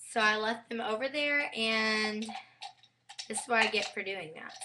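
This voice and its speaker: An unremarkable speaking voice from a woman, fairly high in pitch, at a fairly slow pace, with ordinary pitch variation and big swings in loudness. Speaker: beauty vlogger. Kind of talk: tutorial. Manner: casual, rambling filler words.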